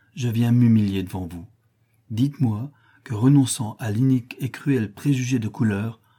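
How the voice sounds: Quiet surroundings and a natural reading voice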